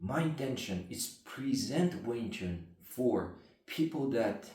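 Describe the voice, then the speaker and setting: With a non-native accent, a man speaks in a somewhat breathy voice with lively intonation. Audible room echo surrounds him. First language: not English. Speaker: martial arts instructor. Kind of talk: explanatory talk to camera. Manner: halting.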